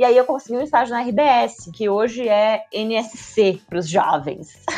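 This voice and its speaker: Against a quiet background, a woman with a plain, everyday voice speaks at a fairly high pitch with lively intonation. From southern Brazil, Joinville (Santa Catarina). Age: 30s. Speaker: marketing professional. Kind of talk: casual interview.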